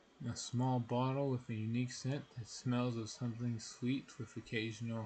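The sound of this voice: The voice here is an unforced reading voice.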